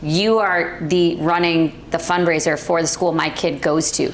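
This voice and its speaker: A woman speaks at a fairly slow pace amid audible room echo and noticeable background noise. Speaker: real estate agent. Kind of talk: panel discussion. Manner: loud.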